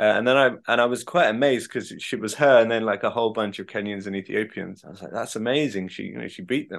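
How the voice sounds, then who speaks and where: With a southern English accent, a man speaks at a very fast pace in a medium pitch, with hardly any pauses. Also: ordinary pitch variation, big swings in loudness. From England, Devon. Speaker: author and journalist. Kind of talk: interview conversation.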